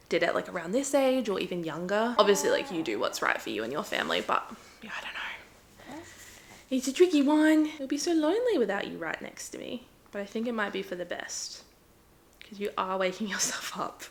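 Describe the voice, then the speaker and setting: Against noticeable background noise, the speech runs at a fairly quick pace with big swings in loudness. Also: woman. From Adelaide, Australia. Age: 20s. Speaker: vlogger, new mother. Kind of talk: casual vlog talk to camera.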